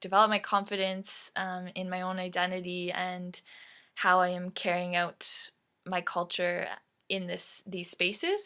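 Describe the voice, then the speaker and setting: A woman with a Canadian accent speaks at a very slow pace in a bright, sharp tone. Her intonation is monotone and flat, on a very clean recording with a silent background. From Canada, Ontario (Mississauga). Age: 20s. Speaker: Métis youth community representative. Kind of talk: prepared personal talk. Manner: frequent 'um' fillers.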